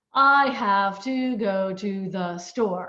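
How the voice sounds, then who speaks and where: A put-on, robotic character voice that sounds female, at a medium pitch. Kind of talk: language lesson. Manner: flat, each word said separately.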